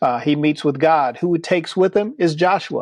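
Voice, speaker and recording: Ordinary pitch variation at a moderate pace. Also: man. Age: 60s. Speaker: pastor. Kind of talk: podcast interview. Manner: hesitant fillers.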